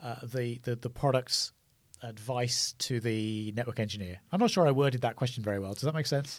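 Recorded very cleanly over a silent background, a man talks at a moderate pace in a medium pitch. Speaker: tech company podcast host. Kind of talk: casual interview. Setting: studio.

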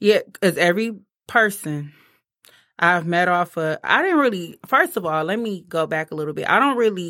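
A woman speaks at a moderate pace with a fairly low pitch, a bright, sharp tone and lively intonation, on a very clean recording with a silent background. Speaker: guest. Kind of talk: casual chat, raunchy banter.

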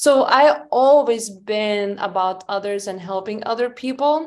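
This woman speaks with a Lithuanian accent. The background is quiet. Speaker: hemp company founder. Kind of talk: interview.

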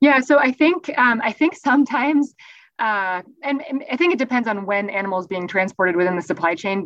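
Talking at a fairly quick pace, a woman with an American accent makes very wide pitch swings. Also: fairly high pitch for a woman. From US Northeast. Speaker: animal welfare professor. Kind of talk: interview.

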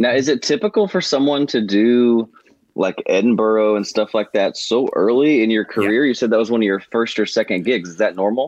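An unremarkable speaking voice moves at a fairly quick pace with very even loudness and ordinary pitch variation, the sound dry and close with no echo over a quiet background. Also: man, medium pitch for a man. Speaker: podcast co-host. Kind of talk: casual interview chat.

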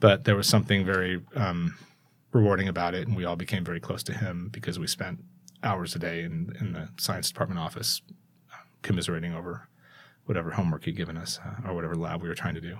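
Someone speaks very fast with an American accent. The pitch varies in an ordinary way. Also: man, very deep, low pitch for a man. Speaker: school communications executive and tech entrepreneur. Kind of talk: casual interview.

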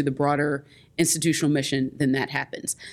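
With an American accent, a woman speaks in a very deep, low voice. Her intonation is monotone and flat. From US Midwest, Indianapolis, Indiana. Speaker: higher education association executive. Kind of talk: interview conversation. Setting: hotel conference room.

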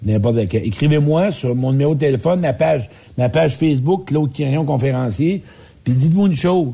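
At a fairly quick pace, a man speaks in a dark, mellow, somewhat breathy voice with very even loudness. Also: fairly high pitch for a man. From Quebec. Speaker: public speaker and life coach. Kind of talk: casual radio chat.

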